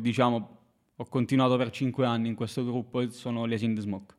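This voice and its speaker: A man talks at a fairly quick pace in a medium pitch. His intonation stays monotone and flat. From southern Italy, Basilicata (Marconia, province of Matera). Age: 20s. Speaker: barista and music/basketball fan. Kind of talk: casual chat.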